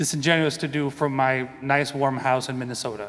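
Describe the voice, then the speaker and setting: A man with a Spanish accent talks at a moderate pace and a fairly high pitch. His intonation stays flat and monotone. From Venezuela. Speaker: composer. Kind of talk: conference panel talk.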